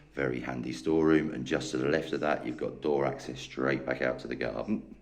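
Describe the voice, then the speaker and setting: The speaker moves at a fairly quick pace in a flat monotone. Vocal fry runs through the voice. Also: man. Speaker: estate agent. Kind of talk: property tour narration.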